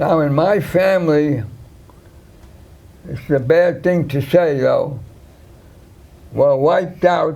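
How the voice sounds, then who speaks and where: In a New York accent, a man with a dark, mellow tone and fairly high pitch speaks very slowly, with ordinary pitch variation, long, frequent pauses and audible room echo. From New York, Brooklyn (Williamsburg). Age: 80s+. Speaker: war veteran. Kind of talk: interview. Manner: halting.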